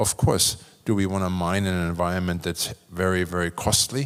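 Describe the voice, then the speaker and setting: A German accent on a very clean recording with a silent background. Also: man. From Germany. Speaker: business executive, panelist. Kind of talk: panel discussion. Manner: casual, halting with repetitions.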